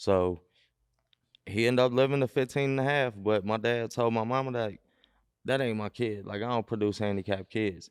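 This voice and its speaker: A man with an American accent talks at a fairly quick pace and medium pitch with fairly even intonation and long, frequent pauses, in a dry, close sound with no echo on a very clean recording with a silent background. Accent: urban vernacular speech, drops -ing endings. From Cincinnati west side, Ohio. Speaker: mailman and comedian. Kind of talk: podcast interview. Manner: casual, slangy.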